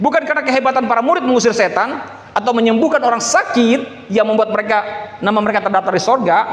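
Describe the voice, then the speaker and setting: Over noticeable background noise, a man talks at a very fast pace in an extremely high pitch. His loudness stays very even. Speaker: pastor. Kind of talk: sermon.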